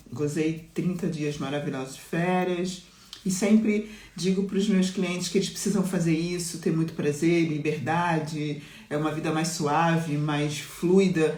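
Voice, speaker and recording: A woman speaks at a fairly slow pace, her fairly low pitch paired with fairly even intonation. Noticeable background noise and audible room echo fill the recording. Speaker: mentor and business coach. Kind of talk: live-stream talk to followers.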